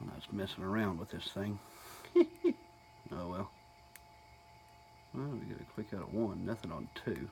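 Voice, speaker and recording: A man mumbles in a Southern US accent at a fairly low pitch, with ordinary pitch variation and a moderate pace. Long, frequent pauses break up his speech, and there is noticeable background noise. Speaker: hobbyist lock picker. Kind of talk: casual tutorial talk to camera. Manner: mumbling.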